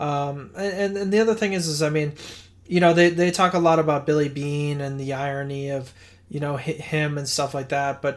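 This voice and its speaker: A man speaks at fairly high pitch and a moderate pace, with ordinary pitch variation. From Boston, Massachusetts. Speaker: podcast co-host. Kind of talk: casual chat. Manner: halting, many fillers.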